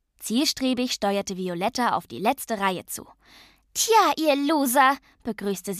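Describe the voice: The plain reading aloud carries lively intonation.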